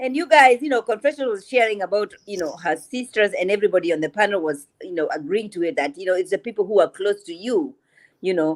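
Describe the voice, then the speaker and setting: With an African accent, a woman speaks in a medium pitch and an animated tone, her pitch swinging very widely, the sound dry and close with no echo. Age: 40s. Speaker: panelist. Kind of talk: casual chat.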